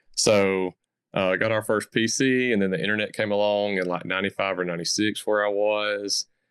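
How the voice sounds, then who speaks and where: In a Southern US accent, a man speaks fairly quickly at a fairly low pitch, his monotone, flat delivery held at very even loudness in a dry, close sound with no echo. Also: very clean recording, silent background. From US South. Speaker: crypto content creator. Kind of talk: podcast interview.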